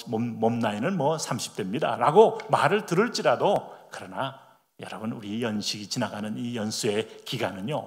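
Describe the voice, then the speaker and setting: Here a man talks with very wide pitch swings. Room echo is audible. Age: 60s. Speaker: pastor. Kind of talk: sermon.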